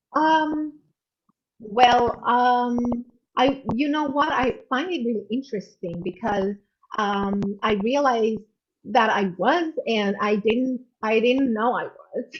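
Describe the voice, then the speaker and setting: A high-pitched woman's voice at a very slow pace, with ordinary pitch variation. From Romania. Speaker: emotional intelligence coach. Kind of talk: video call interview.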